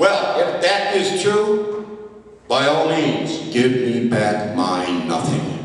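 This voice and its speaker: Amid noticeable background noise, a man talks at a very slow pace, his pitch swinging very widely. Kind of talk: poetry slam performance.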